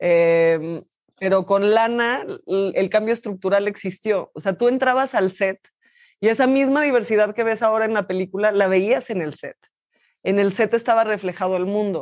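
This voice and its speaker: A woman speaks in an ordinary speaking voice at a medium pitch and a moderate pace. Her pitch varies in an ordinary way over a quiet background. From Mexico. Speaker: actress. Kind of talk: interview. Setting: remote video call.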